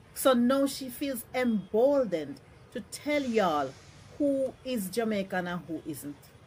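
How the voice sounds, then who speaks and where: A woman talks at a fairly slow pace in a fairly high, somewhat breathy voice. Her pitch swings very widely and her loudness varies a lot. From Jamaica. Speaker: social media commentator. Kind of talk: social media rant.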